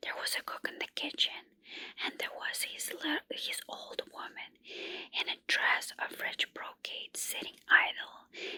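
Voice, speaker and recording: A woman whispers at a very slow pace in a dry, close recording with no echo. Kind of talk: ASMR candlelight folk-tale reading. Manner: soft, whispered, calming.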